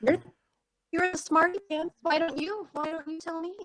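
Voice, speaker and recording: A put-on character voice with extremely high pitch moves at a moderate pace. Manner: sarcastic, mocking.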